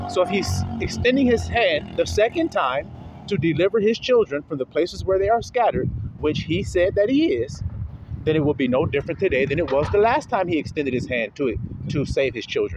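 A man talks at a fairly quick pace, the sound dry with no echo but with noticeable background noise. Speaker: religious teacher. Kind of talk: sermon. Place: street. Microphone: phone near.

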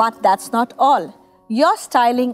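A woman speaks at a fairly slow pace. Faint music plays in the background. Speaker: hair color educator. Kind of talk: tutorial. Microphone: lapel.

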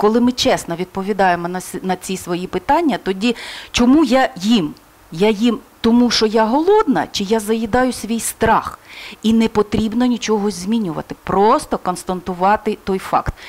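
At a moderate pace, a woman speaks at a fairly high pitch with ordinary pitch variation. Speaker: crisis psychologist. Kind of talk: interview. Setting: studio. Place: studio. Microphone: headset.

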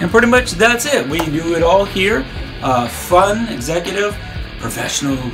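Over clear music in the background, a man with a high pitch speaks with very wide pitch swings. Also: moderate pace. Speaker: voice actor. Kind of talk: casual talk to camera. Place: studio. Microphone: phone near.

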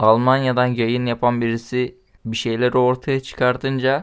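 Keeping a moderate pace, a man talks at medium pitch in a monotone, flat delivery. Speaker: political commentary vlogger. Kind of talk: political commentary monologue. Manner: casual.

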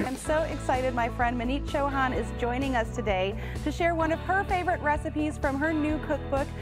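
A woman with an American accent talks at a fairly quick pace with hardly any pauses while clear music plays in the background. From Nashville, USA. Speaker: TV host and interviewer. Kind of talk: TV lifestyle show hosting.

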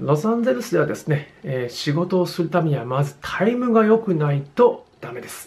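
A man speaks at a moderate pace with hardly any pauses, his high pitch making very wide swings. His loudness also swings a lot. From Japan. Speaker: drummer and music educator YouTuber; music teacher. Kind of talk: video tutorial. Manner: frequent filler hesitations. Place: home room. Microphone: phone near.

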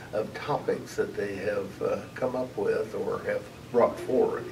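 A man speaks with noticeable background noise in the recording. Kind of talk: interview answer. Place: meeting room.

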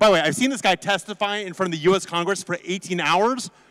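Against a quiet background, a man with a high voice speaks in an animated tone with ordinary pitch variation. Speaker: conference presenter, crypto lawyer. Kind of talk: conference presentation. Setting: stage with audience. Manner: fast. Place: hall. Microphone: handheld.

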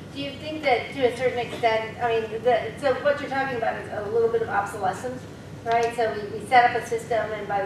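A woman with a fairly high pitch talks at a very fast pace with fairly even intonation and big swings in loudness, amid noticeable background noise and audible room echo. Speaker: professor, symposium organizer. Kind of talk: panel Q&A. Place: classroom.

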